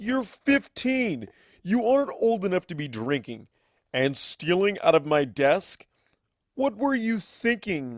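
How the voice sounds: A man's high, put-on character voice at a slow pace, with big pitch swings, long, frequent pauses and a very clean recording with a silent background.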